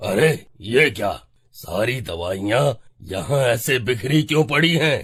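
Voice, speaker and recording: A raspy, cartoonish character voice from a man at medium pitch, with very wide pitch swings and a fairly slow pace. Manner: authoritative, folksy.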